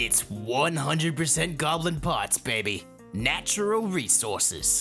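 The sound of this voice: Faint music plays behind a put-on character voice that moves slowly, swings widely in pitch, and has a fairly bright tone.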